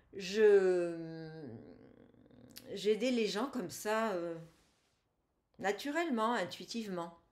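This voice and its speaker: Speaking very slowly with long, frequent pauses, a woman uses a medium pitch and lively intonation. Audible room echo surrounds her voice. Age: 60s. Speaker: energy healer, former engineer. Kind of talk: interview testimony. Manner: halting.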